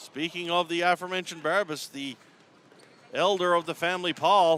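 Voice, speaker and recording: A man talks at a fairly quick pace with a high pitch. His tone is bright and sharp. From Newfoundland, Canada. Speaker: sports play-by-play commentator. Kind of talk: live commentary. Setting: arena, top of the stands. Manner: animated.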